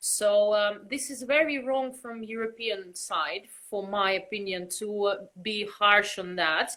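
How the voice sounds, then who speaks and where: Her tone bright and sharp, a woman speaks at a fairly slow pace with ordinary pitch variation and a Russian accent. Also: medium pitch for a woman. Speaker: belly dancer, costume maker. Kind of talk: interview.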